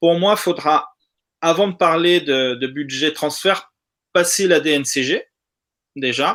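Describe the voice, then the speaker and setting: A man with a Spanish accent talks very slowly with long, frequent pauses, his high voice bright and sharp in tone with ordinary pitch variation. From South America. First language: Spanish (speaking French). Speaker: football fan participant. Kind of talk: casual live discussion.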